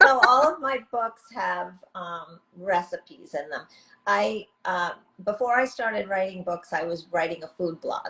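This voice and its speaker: This woman speaks with a New York accent. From US, New York. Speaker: author. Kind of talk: interview.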